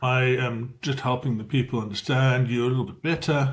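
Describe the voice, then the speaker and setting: A man speaks in a medium pitch with a South African accent, his voice somewhat breathy. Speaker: business AI trainer. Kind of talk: tutorial. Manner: fast; hesitant, with fillers.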